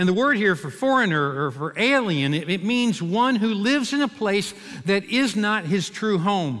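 A man projects his raised voice at a high pitch, bright and sharp in tone. His intonation is lively, and the background is quiet. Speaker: preacher. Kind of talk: sermon delivered to a congregation. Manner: conversational, with light humor. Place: church. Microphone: headset.

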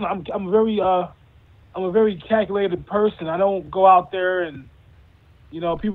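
A man is speaking here. His pace is moderate. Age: 30s. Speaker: MMA fighter; guest. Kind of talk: interview. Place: home room. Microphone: video call.

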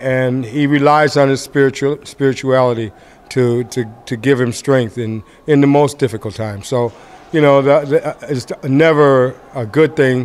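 A man's fairly even intonation accompanies his moderate tempo. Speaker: boxing trainer. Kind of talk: interview answer. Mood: calm, reflective. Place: hall. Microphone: earbuds.

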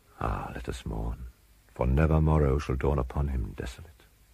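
The speaker is a man with a somewhat breathy voice. His tone is dark and mellow. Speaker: audiobook narrator. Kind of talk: dramatic narration of a Gothic horror story, read aloud in a slow, brooding, ominous tone. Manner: dark, suspenseful delivery that builds dread.

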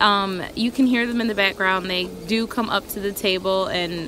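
A woman at a moderate pace, dry sound with no echo, light background noise. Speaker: planner hobby vlogger. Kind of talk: casual vlog chat. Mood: relaxed, cheerful, giggly. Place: garden. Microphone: phone near.

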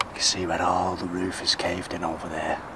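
Loud background noise behind a male speaker at a moderate tempo. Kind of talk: casual vlog commentary. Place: farm machine. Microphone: phone near.

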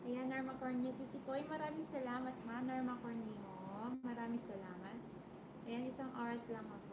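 There is loud background noise. Through it, a woman talks with a high pitch. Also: moderate pace. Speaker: live-stream vlogger. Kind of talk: live stream chat with viewers. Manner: animated. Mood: warm, grateful. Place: home room.

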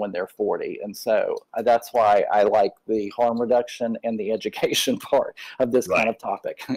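A moderate pace against a quiet background. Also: man. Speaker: audience member. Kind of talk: Q&A discussion. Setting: video call. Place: home room. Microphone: webcam.

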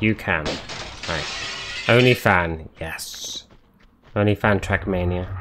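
A man with a British accent and a fairly low pitch, very slow and full of long, frequent pauses, with music in the background. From Britain. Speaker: gaming streamer. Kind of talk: live gameplay commentary. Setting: live stream. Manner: animated.

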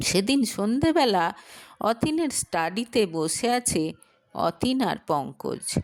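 Speaking slowly at a medium pitch, a woman uses lively intonation.

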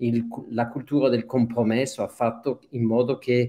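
A man with a French accent has a dark, mellow tone and a medium pitch. He talks at a moderate pace with ordinary pitch variation. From Switzerland, Geneva (French-speaking). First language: French (speaking Italian). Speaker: documentary photographer. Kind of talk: interview. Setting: video call.

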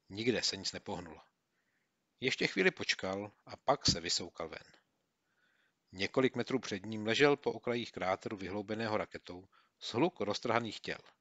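A man's unremarkable speaking voice, fairly low in pitch, with big swings in loudness, ordinary pitch variation and a moderate pace. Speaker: audiobook narrator. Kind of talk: audiobook reading of a war memoir, scripted narration. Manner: steady, measured narration that tightens into clipped, urgent bursts in the action scenes; slips into gruff, colloquial soldier banter in the dialogue.

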